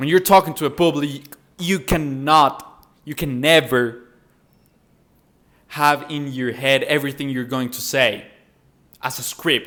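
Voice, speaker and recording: Fairly high, bright, sharp male voice in a Spanish accent, fairly slow and fairly even in intonation, with big swings in loudness and long, frequent pauses. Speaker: self-improvement content creator. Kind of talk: tutorial. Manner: casual, occasionally halting.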